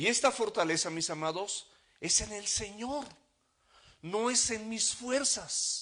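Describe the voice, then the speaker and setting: A man's high-pitched voice, bright and sharp in tone, very slow, with long, frequent pauses and lively intonation. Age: 60s. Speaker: pastor. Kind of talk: sermon.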